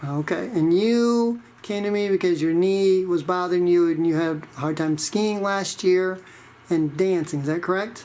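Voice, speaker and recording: Noticeable background noise sits under the recording. A woman speaks at a medium pitch. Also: ordinary pitch variation, moderate pace. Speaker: regenerative medicine doctor. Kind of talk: interviewer questions.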